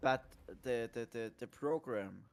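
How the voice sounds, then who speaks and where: Speaking with a German accent, a man at medium pitch uses monotone, flat intonation. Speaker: gamer. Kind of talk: casual chat.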